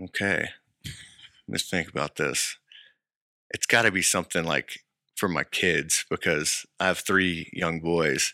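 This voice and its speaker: In a very clean recording with a silent background and a dry, close sound with no echo, a man talks at a fairly slow pace with long, frequent pauses. His voice is very deep and low with a bright, sharp tone and fairly even intonation. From Texas High Plains (Lubbock area). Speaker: winery co-owner. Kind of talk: casual chat.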